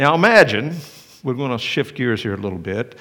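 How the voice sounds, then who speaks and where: Very wide swings in pitch mark this man's speech. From Tennessee, near Cleveland. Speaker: pastor. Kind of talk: sermon. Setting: church.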